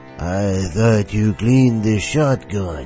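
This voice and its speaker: A put-on character voice from a man, fairly low in pitch, at a fairly slow pace over clear music in the background. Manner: slurring.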